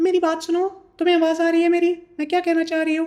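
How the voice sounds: In a put-on character voice, the words come at a very fast pace with monotone, flat intonation. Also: female-sounding voice, extremely high pitch for a woman.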